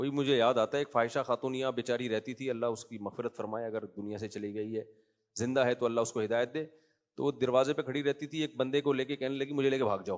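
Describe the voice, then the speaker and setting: Using an ordinary speaking voice, this man holds a medium pitch and keeps his intonation fairly even. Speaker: Islamic scholar giving a lecture. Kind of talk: Islamic sermon / lecture with humorous anecdotes. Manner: conversational, rhetorical questions, humorous.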